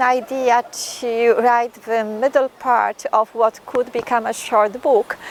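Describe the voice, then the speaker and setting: A woman speaks at a very slow pace with a high pitch. Her intonation is fairly even, and noticeable background noise is present. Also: dry, close sound with no echo. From Poland. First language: Polish. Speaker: poet and writer. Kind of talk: interview talk. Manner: halting, with fillers and restarts.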